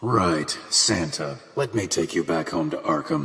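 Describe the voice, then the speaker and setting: A man uses a put-on character voice, very deep and low, with very wide pitch swings at a fairly slow pace. Light background noise can be heard. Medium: read story. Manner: curt, gruff.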